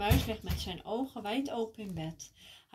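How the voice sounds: The reading voice sounds natural. Lively intonation runs through it.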